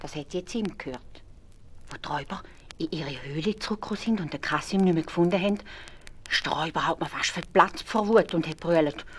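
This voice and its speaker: Speaking at a fairly quick pace with long, frequent pauses, a woman with a Swiss accent has a fairly low pitch and big swings in loudness. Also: ordinary pitch variation. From Switzerland. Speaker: storyteller. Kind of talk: fairy tale narration for children.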